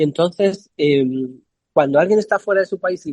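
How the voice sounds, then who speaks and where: A fairly high-pitched man in a Madrid accent, at a moderate pace, with a dry, close sound and no echo. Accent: Castilian Spanish (Madrid). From Spain, Madrid (San Sebastián de los Reyes). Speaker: poet and multidisciplinary artist. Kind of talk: interview conversation. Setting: video call from a café. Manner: hesitant, with repetitions.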